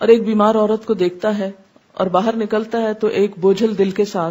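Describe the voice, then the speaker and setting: Her tone is dark and mellow. The woman's fairly high voice keeps a fairly even intonation. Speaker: Islamic scholar. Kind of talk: religious lecture.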